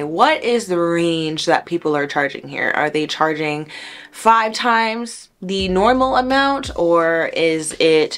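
A woman speaks at a fairly slow pace with an American accent. Her pitch is fairly low, with ordinary variation. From US South, Miami, Florida; Florida. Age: 20s. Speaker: hair braider; hair educator. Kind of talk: tutorial. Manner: conversational.

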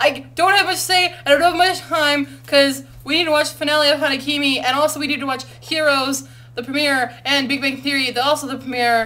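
A woman speaks in a raised, projected voice with a high pitch. Her intonation stays fairly even. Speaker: university student. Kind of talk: casual vlog talk to camera. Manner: fast. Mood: playful, amused. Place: home room. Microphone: webcam.

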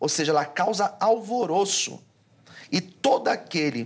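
A man's lively intonation at a fairly slow pace. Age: 40s. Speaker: pastor; pastor guest. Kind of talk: theological debate. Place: studio. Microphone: lapel.

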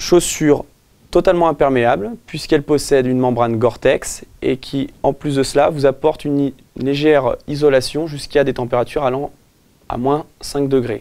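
A man talks at a moderate pace in a dark, mellow tone. His intonation is fairly even. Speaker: presenter. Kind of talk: product presentation. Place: shop.

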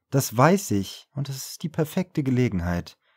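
Calm male voice at a fairly slow pace over a quiet background. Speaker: audiobook narrator. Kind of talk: audiobook reading. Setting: home studio recording. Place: studio.

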